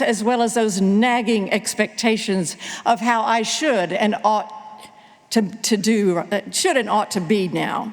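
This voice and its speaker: The speaker goes at a fairly slow pace with ordinary pitch variation, with noticeable background noise and audible room echo. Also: woman. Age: 70s. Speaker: pastor. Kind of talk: sermon. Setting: church.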